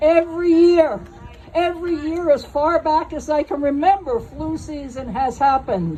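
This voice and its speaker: Fairly slowly and with ordinary pitch variation, a woman talks in a high voice. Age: 70s. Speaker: nurse. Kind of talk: speech at a protest rally. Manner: conversational, digressive.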